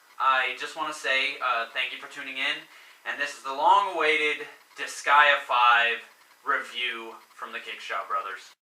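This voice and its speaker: Noticeable background noise surrounds a man with a fairly high pitch and ordinary pitch variation. He speaks at a fairly slow pace, his loudness swinging widely. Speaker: gaming video reviewer. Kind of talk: video game review intro. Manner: hesitant, many fillers.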